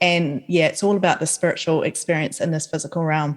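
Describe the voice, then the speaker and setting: A woman with a New Zealand accent at a fairly quick pace. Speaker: author and podcaster. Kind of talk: casual chat. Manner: animated.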